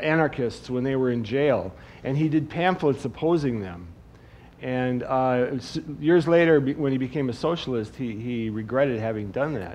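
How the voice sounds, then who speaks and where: A man with an American accent talks in a normal speaking voice at a moderate pace, with a medium pitch, ordinary pitch variation, and light background noise. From Wisconsin. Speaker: cartoonist; guest. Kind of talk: on-stage talk. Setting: stage with audience. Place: stage.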